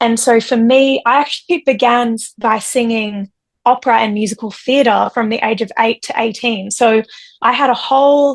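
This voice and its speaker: Speaking with an Australian accent, a woman has a fairly high pitch and fairly even intonation. Her moderate pace comes through with a dry, close sound and no echo. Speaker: singer-songwriter. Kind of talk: interview. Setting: video call.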